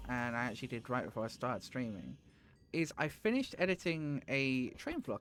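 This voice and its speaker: Here a man speaks with a British accent at a medium pitch. His pace is fairly quick and his intonation lively. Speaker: gaming streamer. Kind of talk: live stream commentary. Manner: casual, rambling with fillers.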